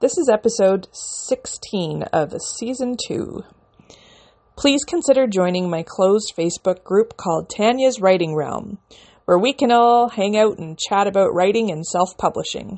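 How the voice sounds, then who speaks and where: Speaking in a Canadian accent, a woman with a plain, everyday voice talks at a fairly slow pace with lively intonation. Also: medium pitch for a woman. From Canada. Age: 30s. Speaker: podcast host and independent author. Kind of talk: casual solo podcast monologue.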